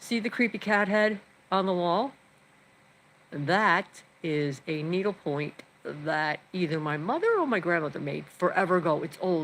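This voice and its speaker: A woman with an American accent and a plain, everyday voice, fairly low in pitch, with ordinary pitch variation and a fairly slow pace. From New York. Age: 60s. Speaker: vlogger. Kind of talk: casual live stream chat. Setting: home, live stream.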